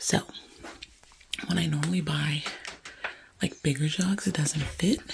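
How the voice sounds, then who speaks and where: Whispering comes with long, frequent pauses against noticeable background noise. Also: fairly slow pace. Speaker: home lifestyle vlogger. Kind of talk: casual vlog.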